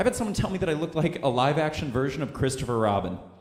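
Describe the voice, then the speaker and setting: An animated man with an American accent speaks at a fairly quick pace and a fairly high pitch. His pitch swings very widely, and audible room echo surrounds him. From Missouri. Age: 20s. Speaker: comedian. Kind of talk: stand-up. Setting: stage with audience.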